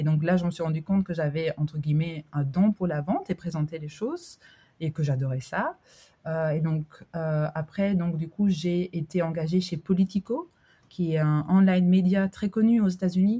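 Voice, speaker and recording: A woman speaks with a fairly low pitch and a dark, mellow tone, somewhat breathy. The sound is dry and close, with no echo. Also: ordinary pitch variation, moderate pace. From Albania. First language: Albanian (speaking French). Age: 30s. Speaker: entrepreneur, coworking founder. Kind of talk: interview conversation. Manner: hesitant, many fillers.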